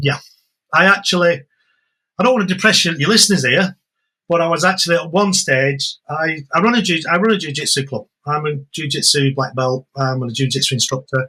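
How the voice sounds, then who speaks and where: A man's fairly high voice with a bright, sharp tone, ordinary pitch variation and a fairly quick pace. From England. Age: 60s. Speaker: jiu-jitsu instructor. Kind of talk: podcast interview. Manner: repetitive, halting starts.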